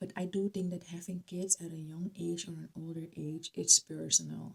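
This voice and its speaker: Somewhat breathy female speech with a Dutch accent, fairly low in pitch and fairly slow. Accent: non-native English, Dutch. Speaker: YouTuber. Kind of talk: vlog commentary. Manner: hesitant, with fillers.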